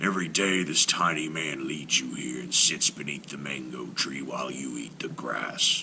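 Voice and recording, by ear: A put-on character voice, bright and sharp in tone, with vocal fry and growling at a moderate pace over faint background noise. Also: man, extremely low pitch for a man, ordinary pitch variation.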